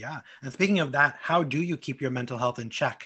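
This man has an American accent and an ordinary speaking voice. He talks at a fairly quick pace with a fairly high pitch and fairly even intonation. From Brooklyn, New York. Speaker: podcast host. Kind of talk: interview.

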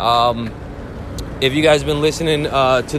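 Noticeable background noise is present. The speaking pace is moderate. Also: man. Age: 30s. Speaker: sports betting podcast host. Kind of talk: casual solo podcast talk. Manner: casual, rambling with fillers.

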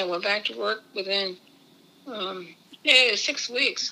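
At a moderate pace, a woman with an American accent speaks over noticeable background noise. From Maryland Eastern Shore (Easton), US. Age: 80s+. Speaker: grandmother sharing life story. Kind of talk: interview. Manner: halting.

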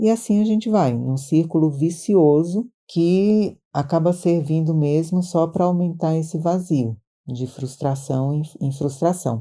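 In a very clean recording with a silent background, a woman with a fairly low voice and a dark, mellow tone speaks at a fairly slow pace with ordinary pitch variation. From Maranhão, Brazil. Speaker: podcast host, translator. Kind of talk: casual chat.

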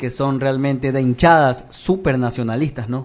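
Fairly even intonation carries an ordinary speaking voice. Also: man. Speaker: sports journalist. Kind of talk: casual chat.

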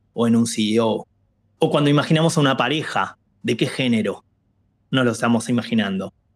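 A man with a plain, everyday voice speaks at a fairly quick pace with ordinary pitch variation, recorded very cleanly over a silent background. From Argentina, Buenos Aires. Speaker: diversity and inclusion lead. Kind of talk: interview conversation.

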